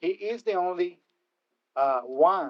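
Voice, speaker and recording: With a Spanish accent, a man talks in a high voice with ordinary pitch variation. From Puerto Rico. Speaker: keynote speaker. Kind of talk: speech.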